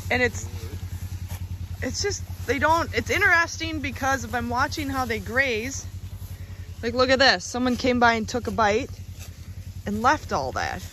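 Over light background noise, a dry voice with no echo moves at a moderate pace, broken by long, frequent pauses. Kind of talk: casual vlog commentary. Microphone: phone near.

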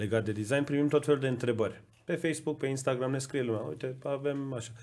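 His pitch moves in an ordinary way. The man keeps a fairly quick pace. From Iran (Tabriz); Iran. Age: 30s. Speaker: podcast co-host, design school co-founder; podcast host. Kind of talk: casual chat. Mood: warm, appreciative. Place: studio. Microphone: studio mic.

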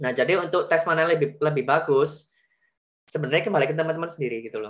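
Against a quiet background, a man with fairly high pitch and a bright, sharp tone speaks at a very fast pace. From Indonesia. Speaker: veterinary graduate student; webinar presenter. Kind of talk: tutorial. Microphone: video call.

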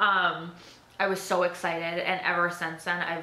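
This woman's voice has a fairly low pitch and a bright, sharp tone, with audible room echo.

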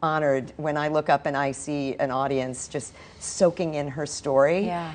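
With fairly even intonation, a woman speaks at a very deep, low pitch. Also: moderate pace. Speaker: stage actress, guest. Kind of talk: interview answer. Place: studio. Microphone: lapel.

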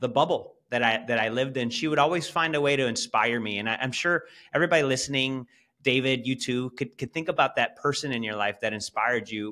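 Against a quiet background, a man with a bright, sharp tone speaks at a fairly quick pace. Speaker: podcast guest. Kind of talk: interview answer. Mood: warm, reflective storytelling. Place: home room. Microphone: video call.

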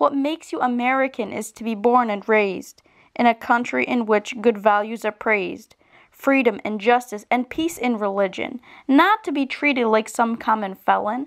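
Woman with an ordinary speaking voice, fairly high pitch and ordinary pitch variation at a moderate pace, on a very clean recording with a silent background. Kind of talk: slam poetry performance.

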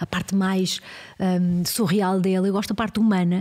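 A woman's medium-pitched, dark, mellow voice at a fairly quick pace, in a European Portuguese accent. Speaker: researcher on the future of work. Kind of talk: casual interview conversation.

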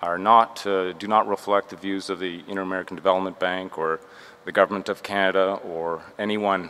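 A man talks at a fairly quick pace. His very deep, low voice holds a monotone, flat intonation. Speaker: conference panelist. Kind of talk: panel remarks. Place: meeting room. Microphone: podium.

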